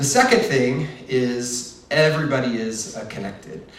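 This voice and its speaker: A man's medium-pitched voice amid audible room echo and noticeable background noise. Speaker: marketing executive giving a keynote. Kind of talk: conference presentation.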